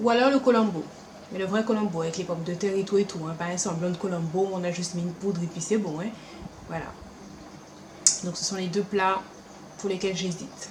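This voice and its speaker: Speaking at a fairly quick pace with long, frequent pauses, a woman uses an animated tone amid noticeable background noise and audible room echo. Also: medium pitch for a woman. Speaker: beauty and lifestyle vlogger. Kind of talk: casual vlog Q&A.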